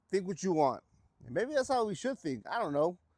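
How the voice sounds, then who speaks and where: A high-pitched male voice with a Texan accent. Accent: Texan American. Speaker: vlogger restoring classic cars. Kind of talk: casual vlog to camera. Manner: halting, stuttering.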